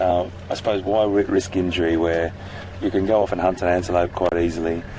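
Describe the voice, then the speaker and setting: This man speaks fairly quickly in a very deep, low voice with monotone, flat intonation. Noticeable background noise runs under him. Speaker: safari guide. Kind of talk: live commentary. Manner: halting.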